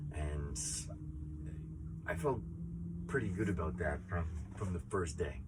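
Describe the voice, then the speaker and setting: A man talks at a fairly slow pace with a very deep, low pitch and vocal fry. His pitch variation is ordinary. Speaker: teacher and project founder who kept a year of silence. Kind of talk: casual talk to camera, personal reflection. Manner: thoughtful, sincere, slightly emotional, with hesitations and filler words.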